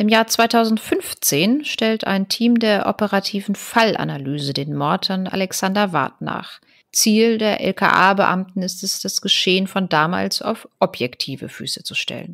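This is a woman with an unremarkable speaking voice at a medium pitch. Her pitch varies in an ordinary way, and the sound is dry and close with no echo. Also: fairly slow pace. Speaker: podcast co-host. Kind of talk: true-crime narration. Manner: even, measured storytelling pace; serious, matter-of-fact.

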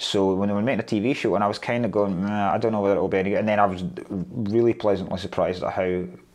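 In a Scottish accent, a man speaks at a very fast pace. His intonation is fairly even over a quiet background. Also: fairly low pitch for a man. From Scotland. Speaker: stand-up comedian. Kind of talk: interview answer. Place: office.

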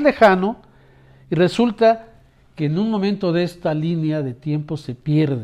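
A man speaks in a warm tone with lively intonation. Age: old. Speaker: sociologist. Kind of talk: public service appeal to viewers. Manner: warm, conversational.

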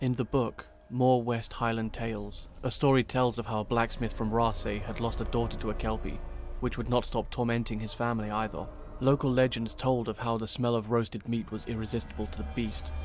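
Talking fairly quickly, a man uses a normal speaking voice, medium in pitch, with pitch that varies in an ordinary way. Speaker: video creator. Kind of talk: folklore narration. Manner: storytelling, measured narration with dark humor.

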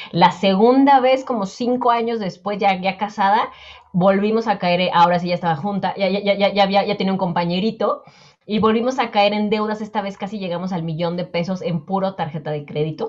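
A woman talks at a moderate pace, her pitch varying in an ordinary way, and the background is quiet. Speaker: personal finance coach guest. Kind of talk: interview answer. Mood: warm, smiling, reflective. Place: home room. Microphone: earbuds.

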